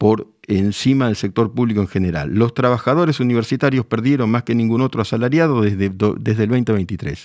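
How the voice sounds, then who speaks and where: In a calm tone over a quiet background, the speech moves at a fairly quick pace with very even loudness and ordinary pitch variation. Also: man, medium pitch for a man. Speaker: journalist. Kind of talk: TV news commentary.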